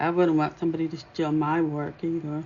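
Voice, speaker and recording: Quiet and at a moderate pace, a woman speaks with a very deep, low pitch and fairly even intonation. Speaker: dot mandala painting teacher. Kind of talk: live tutorial. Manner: quiet while concentrating.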